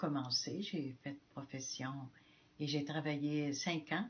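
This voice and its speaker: Her voice is somewhat breathy. The woman's pitch sits very deep and low. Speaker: missionary nun. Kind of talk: testimony. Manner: halting.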